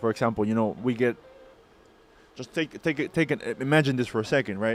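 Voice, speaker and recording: With music in the background, a man talks in a non-native accent. His pace is fairly quick and his pitch medium. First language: not English. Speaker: crypto mining business owner and streamer. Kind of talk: live stream. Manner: casual, halting with fillers.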